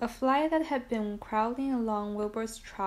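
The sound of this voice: This is an unforced reading voice. The pitch varies in an ordinary way.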